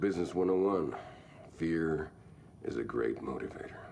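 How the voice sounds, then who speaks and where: A man puts on a raspy character voice at a very deep, low pitch, with ordinary pitch variation. He goes at a moderate pace over clear background noise. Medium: video game. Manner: folksy, brash.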